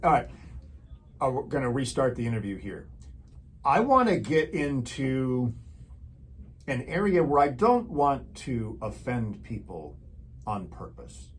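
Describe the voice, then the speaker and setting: A man speaks with an American accent at a fairly slow pace. Audible room echo surrounds his voice. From rural Wisconsin. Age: 50s. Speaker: show host. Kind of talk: interview.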